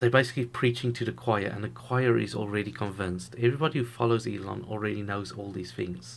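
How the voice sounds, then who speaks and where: A man talks at a very fast pace with hardly any pauses, in a fairly low pitch with vocal fry and ordinary pitch variation. The recording is very clean, with a silent background. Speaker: YouTube investing commentator. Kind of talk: solo video commentary. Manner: halting, stumbles over words.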